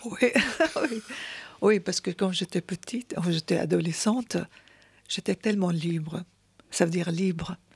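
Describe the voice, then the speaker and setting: Speaking with an Arabic accent, a woman uses fairly low pitch and ordinary pitch variation at a fairly slow pace, with long, frequent pauses. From Syria. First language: Arabic (speaking French). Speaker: poet. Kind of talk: interview. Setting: radio studio.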